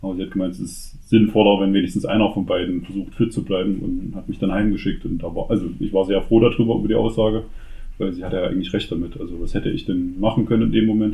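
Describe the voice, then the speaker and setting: A man speaks very fast at a fairly low pitch. His intonation stays fairly even. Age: 30s. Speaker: father. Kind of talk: casual interview.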